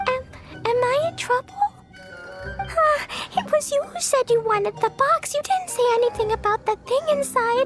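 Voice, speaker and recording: An extremely high put-on character voice at a moderate pace, long, frequent pauses, clear music in the background. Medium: machinima. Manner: casual, evasive.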